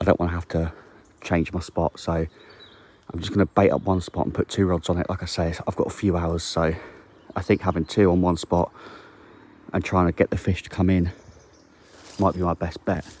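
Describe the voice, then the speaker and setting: A quiet man's voice, very deep and low in pitch, monotone and flat, at a moderate pace with long, frequent pauses, in a dry, close sound with no echo. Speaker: angling vlogger. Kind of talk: vlog. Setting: outdoors by a lake. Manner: casual.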